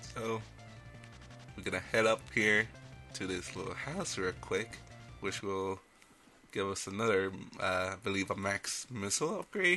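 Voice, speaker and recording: With music in the background, a man with a fairly low pitch speaks with long, frequent pauses. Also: lively intonation, moderate pace. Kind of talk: video game commentary. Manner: casual, rambling.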